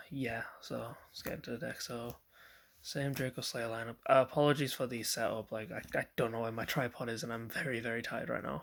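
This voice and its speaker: Vocal fry marks a man's voice on a very clean recording with a silent background. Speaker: card game player and deck reviewer. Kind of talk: casual deck profile video.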